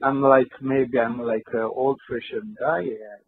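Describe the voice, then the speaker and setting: A fairly high-pitched male voice with a Georgian accent, at a moderate pace. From Georgia (country). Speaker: film director and screenwriter. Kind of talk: interview. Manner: halting, hesitant non-native speech.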